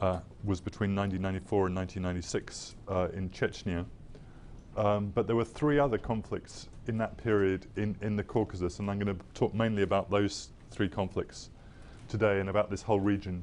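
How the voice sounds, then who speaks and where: With an English accent, a man speaks at a fairly quick pace, his pitch fairly low and his intonation fairly even. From England, North London. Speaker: think tank researcher and former journalist. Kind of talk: lecture. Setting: lecture hall with audience and projected map. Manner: halting, many fillers and repetitions.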